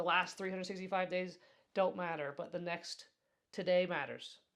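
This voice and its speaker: Fairly quick in her delivery, this woman talks in an American accent. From Colorado. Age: 30s. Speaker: yoga teacher and podcast host. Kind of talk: casual podcast monologue. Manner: fast.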